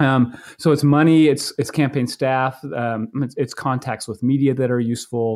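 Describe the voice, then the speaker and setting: This man's voice sits at a medium pitch with fairly even intonation. He keeps a moderate pace and hardly any pauses. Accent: American. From Maine, US. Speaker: political science professor. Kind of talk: interview about his book. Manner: halting, many fillers and repetitions.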